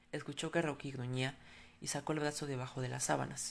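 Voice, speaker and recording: Vocal fry runs through speech at a fairly quick pace with fairly even intonation. The background is quiet. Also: woman. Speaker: podcast storyteller. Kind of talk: horror story narration, read aloud.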